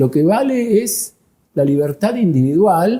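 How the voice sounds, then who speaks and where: Somewhat breathy and dark, mellow in tone, a man speaks at a fairly slow pace. His pitch swings very widely. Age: 70s. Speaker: molecular biologist. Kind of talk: interview.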